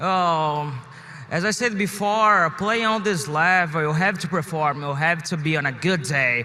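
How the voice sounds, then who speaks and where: This man has a Portuguese accent and a fairly high pitch. He keeps a moderate pace with ordinary pitch variation. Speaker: professional esports player. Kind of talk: interview. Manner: halting.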